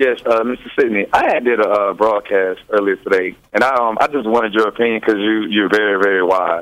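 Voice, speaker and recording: This man speaks at a fairly quick pace with hardly any pauses and a fairly low pitch. His loudness stays very even and his intonation fairly even. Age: 30s. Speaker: caller. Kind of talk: call-in. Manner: halting.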